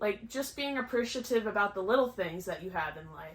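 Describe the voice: A woman speaks at a medium pitch in a bright, sharp tone, her intonation lively.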